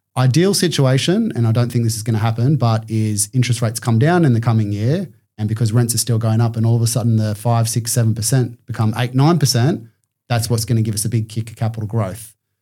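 At a very fast pace, a man with a medium-pitched, dark, mellow and somewhat breathy voice speaks with fairly even intonation. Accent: Australian. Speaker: commercial property buyer's agent. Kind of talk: podcast interview. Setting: studio.

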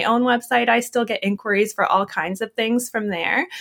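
A woman with a plain, everyday voice and a fairly high pitch speaks at a fairly quick pace with fairly even intonation, the sound dry and close with no echo. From Canada. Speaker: podcast host and wedding photographer. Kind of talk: interview conversation.

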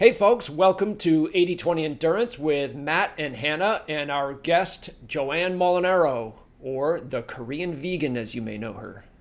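A man with an unremarkable speaking voice talks at a fairly slow pace and a fairly high pitch, with lively intonation, big swings in loudness and hardly any pauses. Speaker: podcast co-host. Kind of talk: casual podcast conversation.

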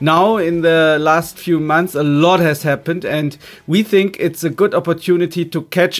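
Music plays in the background while a man speaks with a German accent at a fairly slow pace. His pitch is high and his intonation fairly even. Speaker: podcast host. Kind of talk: interview. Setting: remote call.

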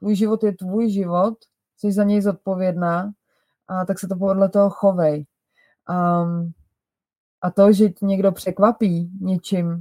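A woman with a dark, mellow tone and a medium pitch speaks at a fairly slow pace, with long, frequent pauses. The sound is dry and close, with no echo. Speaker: style coach and podcast host. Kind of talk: advice monologue. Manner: slower than usual.

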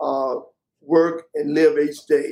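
A man with an American accent at a fairly slow pace, his pitch varying in an ordinary way. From West Palm Beach, Florida. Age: 70s. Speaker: retired executive and philanthropist. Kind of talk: interview.

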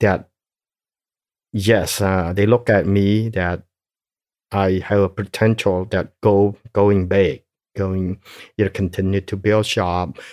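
A man's fairly low voice at a very slow pace, on a very clean recording with a silent background. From Cambodia. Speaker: genocide survivor and businessman. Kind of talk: life story interview. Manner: halting, many fillers.

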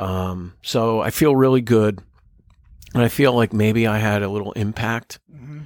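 Recorded very cleanly against a silent background, a man with an American accent uses a plain, everyday voice at medium pitch, with ordinary pitch variation, big swings in loudness and a moderate pace. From New Jersey. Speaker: business owner. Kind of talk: casual chat. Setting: outdoors by the ocean.

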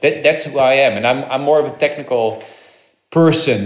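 A man talks at a fairly quick pace with a Dutch accent. Audible room echo surrounds his voice. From Netherlands. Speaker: actor and crypto entrepreneur. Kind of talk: interview. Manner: halting.

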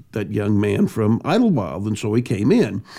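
A dark, mellow tone at a fairly quick pace. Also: man. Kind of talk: casual interview storytelling.

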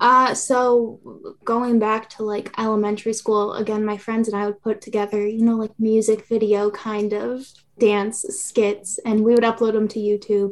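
Quiet and monotone, a woman with a fairly high pitch speaks in a flat way at a moderate pace. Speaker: content creator. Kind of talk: casual interview chat. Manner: monotone, quiet, chill.

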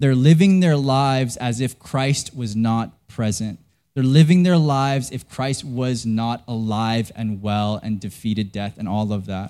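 In a very clean recording with a silent background, a man with a Western Canadian accent speaks fairly slowly at medium pitch, his tone dark and mellow and his pitch varying in an ordinary way. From Canada. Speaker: pastor. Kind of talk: sermon. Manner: casual, conversational with frequent fillers.

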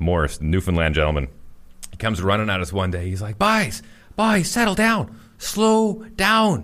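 A man talks with a Manitoban accent. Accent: Canadian (Manitoba). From Winnipeg, Canada. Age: 40s. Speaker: morning radio host. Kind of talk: casual chat. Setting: studio.

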